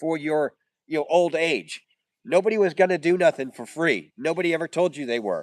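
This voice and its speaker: A man talks at a moderate pace with a high pitch and ordinary pitch variation, the sound dry and close with no echo. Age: 60s. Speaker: backyard chicken keeper and livestreamer. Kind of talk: casual livestream chat. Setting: outdoors. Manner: halting, repetitive.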